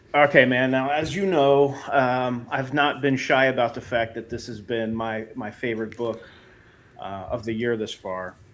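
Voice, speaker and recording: Noticeable noise fills the background. A man talks fairly slowly. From central Pennsylvania. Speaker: comic book writer and stream host. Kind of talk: interview.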